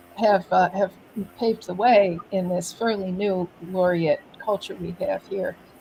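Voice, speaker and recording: A woman with an American accent talks at a fairly slow pace. Her intonation is fairly even, and there is noticeable background noise. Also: medium pitch for a woman. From New York City. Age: 60s. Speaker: poet laureate and artist. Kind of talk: interview.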